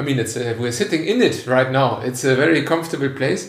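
A man speaks with a German accent and lively intonation. There is noticeable background noise. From Germany, Cologne. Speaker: podcast host. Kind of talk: casual interview. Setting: guest's apartment.

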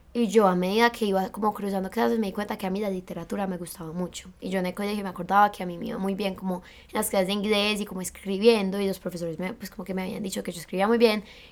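A woman talks at a very fast pace with hardly any pauses and fairly even intonation. Her loudness swings widely, and there is noticeable background noise. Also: medium pitch for a woman. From Colombia. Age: 20s. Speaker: university student. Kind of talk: casual chat.

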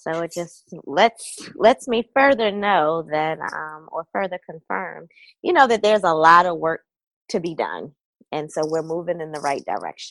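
A woman speaks in a Baltimore accent with lively intonation. The sound is dry and close, with no echo. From Baltimore, Maryland.

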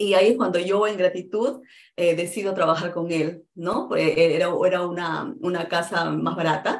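The voice has vocal fry, ordinary pitch variation and a moderate pace. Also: woman, fairly low pitch for a woman. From Peru. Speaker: real estate investor. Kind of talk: interview.

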